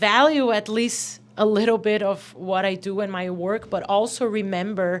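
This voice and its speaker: A woman's medium-pitched voice with a Portuguese accent, ordinary pitch variation and a very slow pace. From Brazil, São Paulo. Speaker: death metal musician and vocalist. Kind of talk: interview. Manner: halting, many fillers and repetitions.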